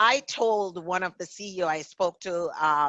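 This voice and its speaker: A woman speaks with a Jamaican accent. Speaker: author and diversity consultant. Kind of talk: interview.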